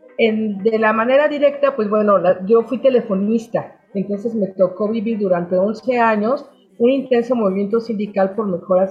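A woman with a plain, everyday voice talks at a moderate pace and a fairly high pitch, with ordinary pitch variation and hardly any pauses. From Mexico City. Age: 60s. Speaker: storyteller and former journalist. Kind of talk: interview.

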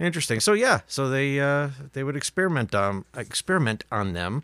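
In a dry, close recording with no echo, a man uses a playful, bright and sharp tone at a fairly high pitch, swinging very widely in pitch at a moderate pace with long, frequent pauses. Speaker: podcast co-host. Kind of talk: casual banter. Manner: joking, playful.

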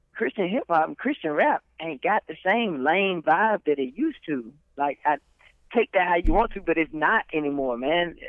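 A moderate pace and lively intonation, in an American accent. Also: man, high pitch for a man. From Alabama (Troy area). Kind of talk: casual chat.

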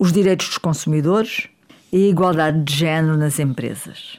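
European Portuguese accent with ordinary pitch variation. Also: woman, very clean recording, silent background. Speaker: politician. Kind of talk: opinion commentary. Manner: formal.

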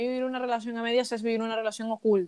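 This woman has a fairly high pitch. Her intonation stays monotone and flat. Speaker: podcast host. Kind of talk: casual chat.

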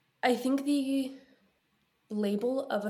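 Somewhat breathy, a woman's voice has a dark, mellow tone and ordinary pitch variation. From Ukraine (Kyiv). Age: young. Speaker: podcast host and student. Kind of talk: casual chat.

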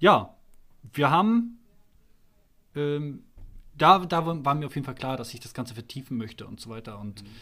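A man with a fairly high pitch and a bright, sharp tone uses lively intonation, big swings in loudness and long, frequent pauses. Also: moderate pace. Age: 30s. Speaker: electrician and church musician, podcast guest. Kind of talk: casual interview. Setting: church building after a service. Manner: hesitant, many fillers.

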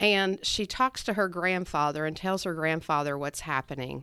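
In a very clean recording with a silent background, a woman with an American accent talks at a moderate pace, her fairly low pitch showing ordinary variation and a bright, sharp tone. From West Virginia. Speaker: podcast co-host. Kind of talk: casual chat.

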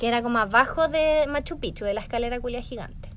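Here a woman talks at a very fast pace. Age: 20s. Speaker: podcast co-host, online shop owner. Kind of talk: casual chat.

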